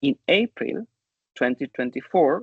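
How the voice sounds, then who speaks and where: A man's fairly high, lively voice at a fairly slow pace with a Chilean Spanish accent, dry and close with no echo. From southern Chile. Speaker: English teacher educator and researcher. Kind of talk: conference talk.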